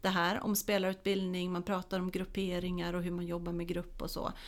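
A woman speaks at a moderate pace with a plain, everyday voice, pitched in the middle range. The recording is very clean, with a silent background. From Småland, Sweden. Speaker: football coach educator. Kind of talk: casual interview. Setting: studio.

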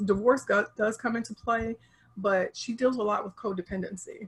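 A somewhat breathy voice with an American accent, ordinary pitch variation and a moderate pace. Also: woman. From Chicago area, US Midwest. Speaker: relationship coach. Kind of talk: interview. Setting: video call.

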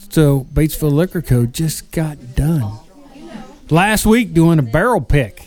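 A man with a fairly high pitch uses an ordinary speaking voice. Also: lively intonation. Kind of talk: radio-style sales pitch / ad read. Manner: upbeat, rapid-fire announcer cadence with infomercial hype.

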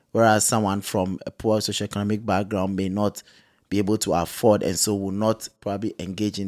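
Speaking at a moderate pace, a man holds a monotone, flat intonation in a fairly low pitch. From Ghana. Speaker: clinical psychologist. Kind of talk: interview.

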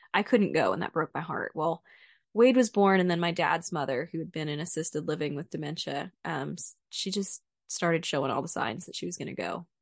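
A woman with an American accent speaks at a fairly quick pace, her fairly low voice showing ordinary pitch variation and big swings in loudness. The sound is dry and close with no echo, over a quiet background. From Central Texas. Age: 20s. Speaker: podcast co-host, home builder. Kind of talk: personal storytelling.

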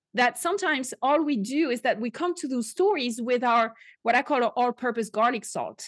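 A woman with a French accent, high-pitched and with lively intonation, at a fairly quick pace, in a dry, close sound with no echo against a quiet background. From France. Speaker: podcast host and Bible teacher. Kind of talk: casual interview. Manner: animated.

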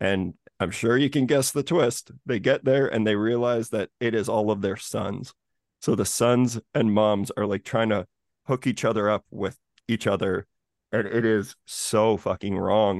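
A man speaks in an unremarkable speaking voice at medium pitch, keeping very even loudness and fairly even intonation at a fairly slow pace. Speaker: horror podcast host. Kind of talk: casual chat.

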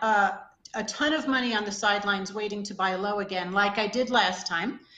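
A woman speaks in a plain, everyday voice at a medium pitch, with ordinary pitch variation and a fairly quick pace. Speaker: hedge fund manager. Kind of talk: interview.

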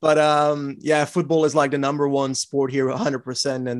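A man speaks with a slight Flemish accent. His pitch is fairly high and his pace fairly quick. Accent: light Flemish-accented English. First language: Dutch. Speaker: cycling podcast co-host and YouTuber. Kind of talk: casual interview.

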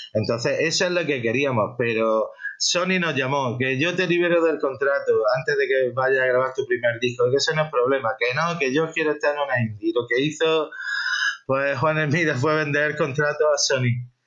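Over noticeable background noise, a man with a fairly high pitch talks at a moderate pace and ordinary pitch variation. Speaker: rock musician. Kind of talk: interview. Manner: halting.

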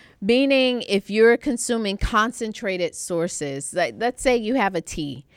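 An ordinary speaking voice from a woman, fairly high in pitch, moves at a fairly slow pace with hardly any pauses. The sound is dry and close with no echo, in a very clean recording with a silent background. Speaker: podcast co-host, doctor. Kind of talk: casual chat.

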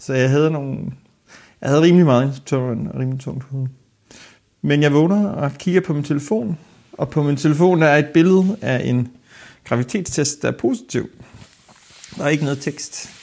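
At a moderate pace, a man with a fairly high pitch speaks with long, frequent pauses and ordinary pitch variation. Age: 30s. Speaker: archive worker, accident victim. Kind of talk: interview testimony.

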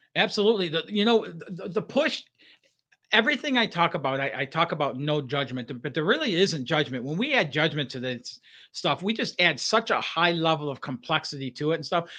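With an American accent, this man talks at a fairly quick pace in a fairly high pitch, his bright, sharp tone carried by lively intonation. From Michigan, outside Detroit. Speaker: life coach. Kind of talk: podcast interview.

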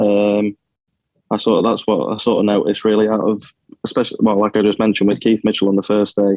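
In a Yorkshire accent, a man talks very fast at a fairly low pitch with monotone, flat intonation. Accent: northern English (Yorkshire). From Sheffield, England. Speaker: amateur golfer. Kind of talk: radio interview.

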